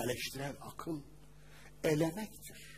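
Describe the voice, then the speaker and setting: A man talks very slowly with vocal fry. His pitch sits fairly high for a man. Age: 40s. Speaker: Islamic preacher and teacher. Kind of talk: religious lecture. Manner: animated.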